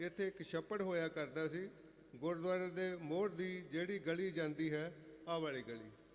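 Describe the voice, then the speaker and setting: A man with a high pitch speaks using fairly even intonation. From Punjab, India (Jalandhar district village). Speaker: guest speaker, author. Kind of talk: speech at religious gathering. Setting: religious fair gathering, standing at a mic stand.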